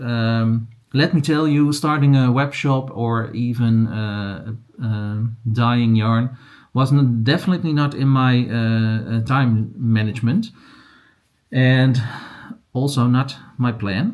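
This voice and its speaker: With a Dutch accent, a man speaks at a very slow pace and a medium pitch, his intonation fairly even. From Netherlands. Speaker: crochet and yarn vlogger. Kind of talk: casual vlog. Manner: halting, many fillers.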